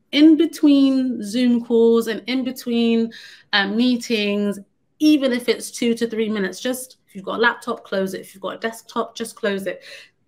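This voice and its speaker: A woman with a London accent speaks in a fairly high pitch at a moderate pace. Her pitch varies in an ordinary way, while her loudness swings widely. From London, England. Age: 30s. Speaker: conference speaker. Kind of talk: presentation.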